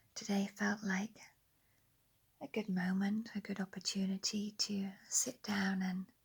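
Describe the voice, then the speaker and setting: A soft-spoken woman with an English accent talks at a very slow pace in a medium, somewhat breathy voice. Her intonation is monotone and flat. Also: long, frequent pauses. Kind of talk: guided relaxation. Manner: soft, slow.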